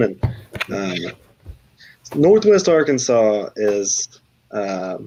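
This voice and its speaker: This man's voice sits fairly low. He talks with an American accent. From US South, Texarkana. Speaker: food challenge YouTuber. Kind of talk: casual livestream chat.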